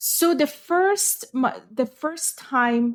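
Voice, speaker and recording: In a Ukrainian accent, the speaker's pitch swings very widely. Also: woman. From western Ukraine. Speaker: podcast co-host, English teacher. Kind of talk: casual chat.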